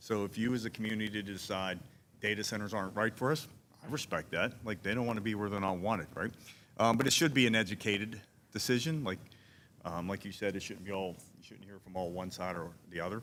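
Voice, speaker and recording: Speaking at a very fast pace, a man with a fairly low pitch has a slight Pittsburgh accent. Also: ordinary pitch variation. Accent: Pittsburgh (Yinzer), mild. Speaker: commercial real estate consultant. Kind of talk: town hall panel remarks.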